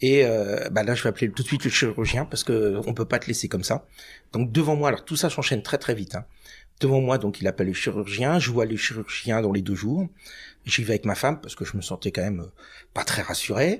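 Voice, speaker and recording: A man talks at a fairly quick pace in a somewhat breathy voice, on a very clean recording with a silent background. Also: medium pitch for a man, ordinary pitch variation. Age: 50s. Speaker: cancer patient and freelance trainer. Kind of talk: podcast interview testimony. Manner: hesitant, many fillers.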